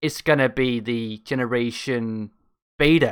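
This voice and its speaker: A man's medium-pitched voice with a bright, sharp tone, on a very clean recording with a silent background. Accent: Danish. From Denmark. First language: Danish. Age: 20s. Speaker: YouTube reactor. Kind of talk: casual reaction commentary. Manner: animated.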